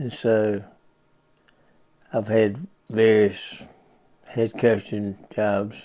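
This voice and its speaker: Speaking at a very slow pace with long, frequent pauses, a man uses a fairly low pitch, a dark, mellow tone and monotone, flat intonation. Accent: American. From US South, Bristol, Florida. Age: 70s. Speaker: retired sports coach. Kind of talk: interview. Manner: brief, measured answers.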